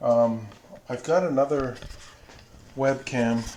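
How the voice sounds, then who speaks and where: A man mumbles amid audible room echo. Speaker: miniature wargaming streamer. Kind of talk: casual live stream chat. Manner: hesitant, many fillers; mumbling.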